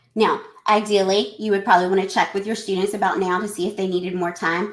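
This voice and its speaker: Very fast and in an American accent, a woman speaks at a medium pitch with monotone, flat intonation. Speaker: educator presenting a webinar. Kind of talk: live webinar presentation. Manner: chatty, talkative.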